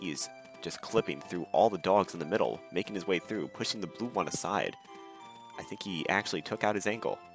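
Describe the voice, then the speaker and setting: With music in the background, a man speaks in a very deep, low pitch with lively intonation. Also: fairly quick pace. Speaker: gaming video narrator. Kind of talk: scripted gameplay commentary.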